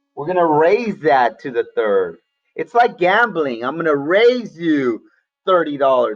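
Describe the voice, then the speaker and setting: The speech moves at a very slow pace, and music plays in the background. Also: man. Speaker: math teacher. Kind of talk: online class lesson. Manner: casual, animated.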